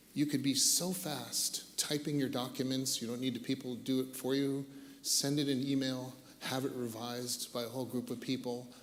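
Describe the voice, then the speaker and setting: Speaking with an American accent in a medium pitch, a man keeps a monotone, flat intonation while audible room echo surrounds his voice. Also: moderate pace. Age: 60s. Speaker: tech industry veteran, panelist. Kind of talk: panel discussion.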